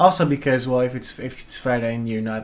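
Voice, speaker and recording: A man with a Dutch accent, ordinary pitch variation, and noticeable background noise. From Netherlands. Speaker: vlogger. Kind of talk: casual chat. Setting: live stream at home.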